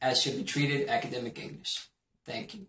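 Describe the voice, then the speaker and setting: Talking at a very fast pace, a man uses a fairly high pitch. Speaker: university student. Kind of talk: class presentation. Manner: formal.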